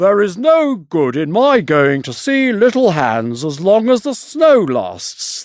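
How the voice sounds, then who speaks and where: Using a put-on character voice, a man talks at a high pitch with very wide pitch swings. His pace is fairly slow, yet he hardly pauses at all. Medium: read story. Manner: smug, sanctimonious.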